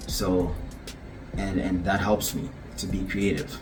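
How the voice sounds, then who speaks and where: Music plays in the background as a man talks at a fairly slow pace, with audible room echo. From Ghana (West Africa). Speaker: visual artist. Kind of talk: casual vlog talk to camera.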